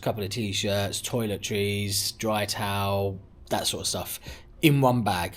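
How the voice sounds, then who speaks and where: A man with a London accent. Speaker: travel vlogger. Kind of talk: casual vlog talk to camera. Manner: repetitive, chatty.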